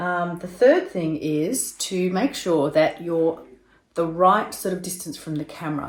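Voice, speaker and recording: With an Australian accent, a woman speaks in a fairly low pitch at a fairly slow pace. Her loudness swings widely, while her pitch variation stays ordinary. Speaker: video tutor. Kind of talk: tutorial.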